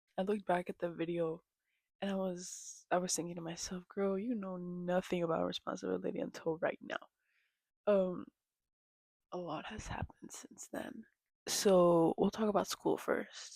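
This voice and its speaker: A soft-spoken woman talks at a moderate pace with long, frequent pauses. Her intonation stays fairly even, and the sound is dry and close with no echo. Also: medium pitch for a woman. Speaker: vlogger. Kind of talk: casual rant.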